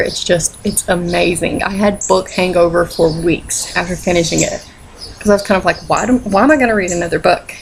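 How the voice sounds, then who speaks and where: Through noticeable background noise comes a woman's voice pitched in the medium range. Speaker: book reviewer. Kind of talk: casual talk to camera. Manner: upbeat, playful.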